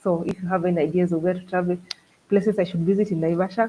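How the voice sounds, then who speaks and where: Somewhat breathy, a woman speaks in a medium pitch with a dark, mellow tone. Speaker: travel vlogger. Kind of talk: live stream chat with viewers. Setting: live stream. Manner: animated.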